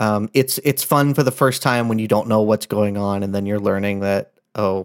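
A man with an unremarkable speaking voice, fairly low-pitched, at a moderate pace, in a very clean recording with a silent background and a dry, close sound with no echo. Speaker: podcast co-host. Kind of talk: casual banter, joking. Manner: jokey, playful.

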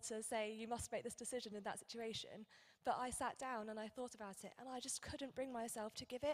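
A woman's high voice with a British accent, at a moderate pace and fairly even intonation. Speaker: church member giving testimony. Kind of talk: testimony.

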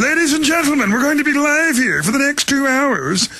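A put-on character voice, high in pitch, at a fairly quick pace. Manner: formal, grandiose.

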